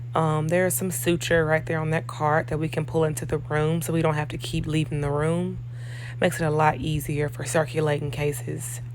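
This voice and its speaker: In a room with audible echo and noticeable background noise, a woman with a very deep, low pitch speaks at a fairly quick pace with fairly even intonation. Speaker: operating room nurse. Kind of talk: vlog walkthrough tour. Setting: hospital operating suite.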